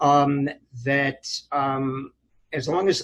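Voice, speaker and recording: In an American accent, a man speaks somewhat breathily at a fairly high pitch. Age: 70s. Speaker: retired physician. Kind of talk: oral history interview. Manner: hesitant, many fillers.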